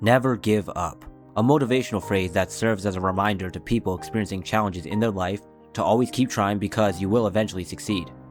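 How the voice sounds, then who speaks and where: Music plays in the background as a man speaks at a very fast pace. His voice is fairly low, with ordinary pitch variation. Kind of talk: casual commentary video. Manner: casual, slangy.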